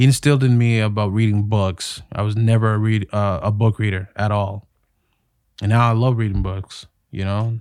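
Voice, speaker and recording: In a Toronto accent, a man with fairly low pitch talks at a moderate pace in a monotone, flat delivery on a very clean recording with a silent background. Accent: Toronto Canadian English. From Canada, Toronto (North York). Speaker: actor and voiceover artist. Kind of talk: casual chat.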